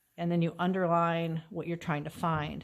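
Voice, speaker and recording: In a very clean recording with a silent background, a woman speaks at a fairly quick pace. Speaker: chemistry teacher. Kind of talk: tutorial. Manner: fast.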